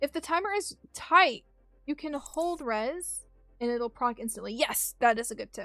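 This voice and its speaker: A woman speaks in a raised, projected voice with an animated tone, bright and sharp, and lively intonation at a moderate pace. Her loudness swings widely, and she takes long, frequent pauses. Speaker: gaming streamer. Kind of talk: livestream chat while gaming.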